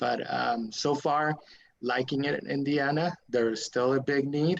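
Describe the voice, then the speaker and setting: A man with a Spanish accent speaks at a fairly slow pace in a fairly high pitch, with fairly even intonation and very even loudness. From Mexico and El Paso, Texas. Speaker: lawyer. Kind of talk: interview. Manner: halting, many fillers.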